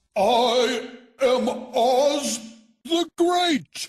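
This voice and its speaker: Someone uses a put-on character voice, pitched fairly high. Music plays in the background. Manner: timid, pleading.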